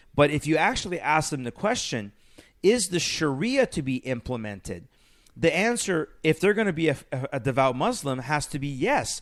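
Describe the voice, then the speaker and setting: A man with a fairly high pitch speaks at a moderate pace, his pitch swinging very widely, in a very clean recording with a silent background. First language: not English. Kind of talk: casual discussion.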